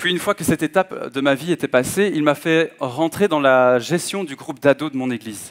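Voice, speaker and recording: Against a quiet background, a man talks at a fairly quick pace in a fairly high voice with ordinary pitch variation. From Belgium (Hainaut, Manage); Belgium. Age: 20s. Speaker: guest preacher. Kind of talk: sermon. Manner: halting, frequent hesitations. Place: church. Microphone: headset.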